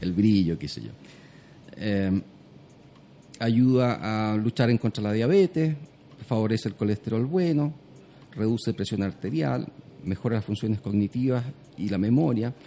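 Pausing long and often, a man with a fairly low pitch and a dark, mellow tone talks at a moderate pace with lively intonation. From southern Chile. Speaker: juice company founder. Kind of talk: radio interview.

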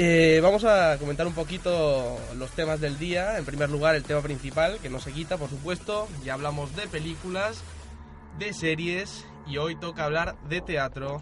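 A man speaks at a fairly slow pace in a fairly high pitch, with ordinary pitch variation. Music plays in the background. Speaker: radio host. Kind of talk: casual chat.

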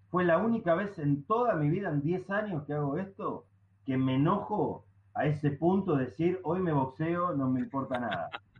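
Against noticeable background noise, a man with a high pitch and lively intonation speaks at a moderate pace. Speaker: stand-up comedian. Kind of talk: casual chat.

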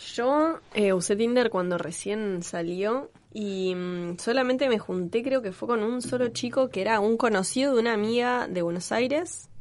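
A woman's fairly high-pitched, normal speaking voice with hardly any pauses. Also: ordinary pitch variation, fairly slow pace. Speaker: podcast host. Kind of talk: casual chat.

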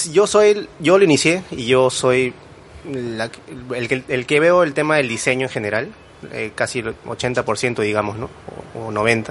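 Pausing long and often, a man speaks at a fairly slow pace and medium pitch with lively intonation. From Lima, Peru. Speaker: graphic designer and small business owner. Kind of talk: casual interview. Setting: studio.

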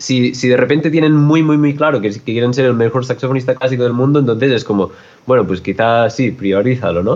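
A man's plain, everyday voice at medium pitch, with ordinary pitch variation. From Catalonia, Spain (Olot). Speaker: jazz musician and composer. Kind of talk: interview.

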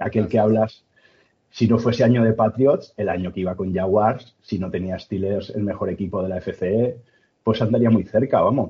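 A man in a Castilian accent, fairly low-pitched and somewhat breathy, at a moderate pace with fairly even intonation. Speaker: sports podcast host. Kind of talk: casual interview chat.

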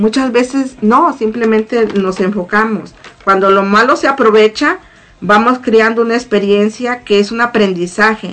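The woman speaks at a fairly slow pace with fairly high pitch and ordinary pitch variation. Her loudness stays very even over noticeable background noise. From Mexico, Morelos. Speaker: church prayer group member. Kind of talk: testimony.

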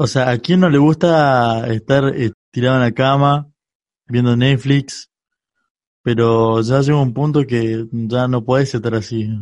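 A man speaks at a medium pitch and a fairly slow pace. His loudness stays very even, and his intonation is fairly even. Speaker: podcast host. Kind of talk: casual chat.

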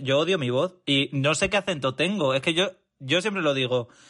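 A man's bright, sharp tone at a fairly quick pace, with ordinary pitch variation. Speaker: podcast guest. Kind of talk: casual chat.

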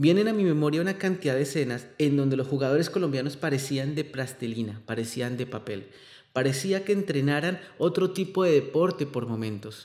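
A man speaks with a fairly high pitch and lively intonation. He keeps a fairly quick pace. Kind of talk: narrated monologue. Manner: impassioned.

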